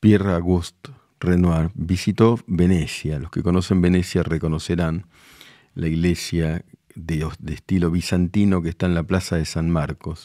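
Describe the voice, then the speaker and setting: Calm and dark, a man's mellow voice sits at a very deep, low pitch with fairly even intonation and a fairly slow pace. The recording is very clean, with a silent background. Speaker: journalist. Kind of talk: TV opinion segment on art.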